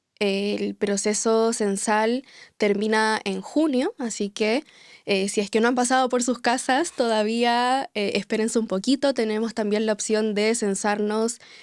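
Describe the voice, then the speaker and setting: A woman with a Chilean accent speaks at a fairly slow pace in a fairly high voice with fairly even intonation, the sound dry and close with no echo. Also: very clean recording, silent background. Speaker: podcast host. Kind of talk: podcast interview.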